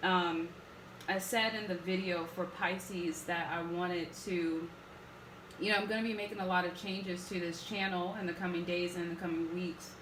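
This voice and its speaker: Monotone, flat speech comes at a moderate pace, with noticeable background noise and audible room echo. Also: woman, fairly low pitch for a woman. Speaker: tarot reader. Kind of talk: tarot reading monologue. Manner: casual, many fillers.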